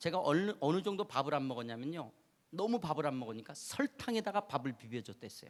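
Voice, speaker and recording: Speech at a fairly quick pace, with the pitch swinging very widely up and down. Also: man, fairly high pitch for a man. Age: 50s. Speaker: preacher. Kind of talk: sermon. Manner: animated.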